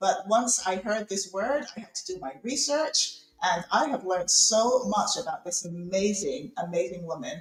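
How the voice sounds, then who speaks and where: A woman with a British accent speaks in an animated tone, her pitch swinging very widely. She hardly pauses, and there is noticeable background noise. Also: medium pitch for a woman, moderate pace. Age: middle-aged. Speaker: podcast host. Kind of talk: live interview show host talk. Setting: live video call studio show. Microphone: technical sound issues.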